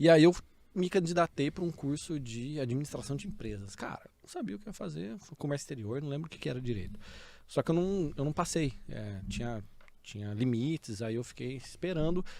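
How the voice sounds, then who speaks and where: Talking at a fairly quick pace, a man with a fairly high but dark, mellow voice uses lively intonation and big swings in loudness. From Brazil, Ribeirão Preto, interior of São Paulo. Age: 40s. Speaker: data technology leader and MBA lecturer. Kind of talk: podcast interview. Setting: studio. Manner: casual, conversational.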